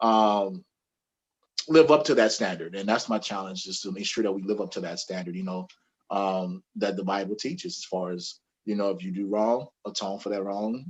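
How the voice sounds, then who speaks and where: A man with a normal speaking voice talks at a moderate pace. His pitch is fairly low, with ordinary variation. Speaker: army veteran and author. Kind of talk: interview.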